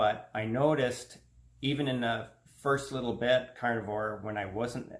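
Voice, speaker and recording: Somewhat breathy, a man speaks at a medium pitch. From Canada. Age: 50s. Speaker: health vlogger. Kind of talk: personal testimony vlog. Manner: casual, conversational.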